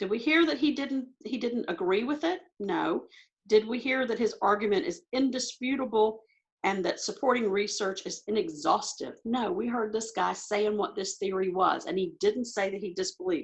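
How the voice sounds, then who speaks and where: A woman speaks in an ordinary speaking voice at a moderate pace. Her pitch is fairly high, and her intonation is lively. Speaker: ACT test prep tutor. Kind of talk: tutorial. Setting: video call.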